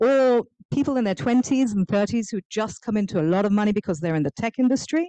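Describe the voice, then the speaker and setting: A woman's medium-pitched voice, dark and mellow in tone, with lively intonation and a dry, close sound with no echo. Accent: English. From England. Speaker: author and nonprofit founder. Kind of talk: public talk. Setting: stage with audience, also streamed on Zoom. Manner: animated.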